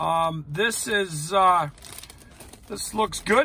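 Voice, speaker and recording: A man speaks in a raised, projected voice. The sound is dry, with no echo. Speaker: food vlogger. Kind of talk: casual vlog chat. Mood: wry, upbeat. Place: car. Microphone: phone near.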